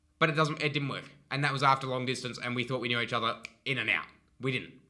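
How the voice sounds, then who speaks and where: An animated man at medium pitch with an Australian accent. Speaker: relationship advice vlogger. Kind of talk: casual advice monologue. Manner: fast.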